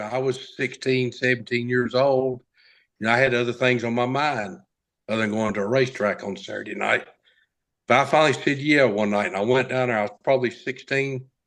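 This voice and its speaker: A man speaks with a Southern US accent and fairly even intonation. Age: 60s. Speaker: race car driver. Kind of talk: interview storytelling. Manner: halting.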